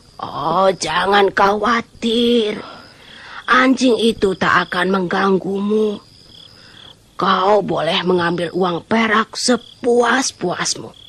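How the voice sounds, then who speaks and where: This female-sounding voice is a put-on character voice at a medium pitch. It moves at a very slow pace. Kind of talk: folk tale drama. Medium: audio drama. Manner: coaxing, reassuring.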